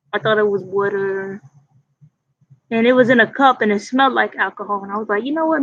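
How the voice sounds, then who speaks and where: A loud woman's voice, fairly high in pitch, at a moderate pace with ordinary pitch variation. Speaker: vlogger. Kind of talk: casual chat.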